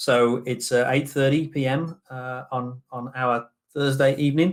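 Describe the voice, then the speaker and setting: With a British accent, a man at a medium pitch speaks in a flat monotone. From Britain. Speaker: business general manager. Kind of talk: webinar presentation. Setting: online summit.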